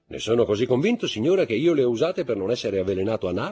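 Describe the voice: Reading aloud, plain and simple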